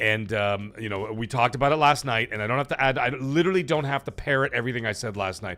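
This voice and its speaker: Talking at a very fast pace with hardly any pauses, a man uses a medium pitch, a bright, sharp tone and ordinary pitch variation. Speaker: gaming livestream host. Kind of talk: casual live-stream commentary. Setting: live stream.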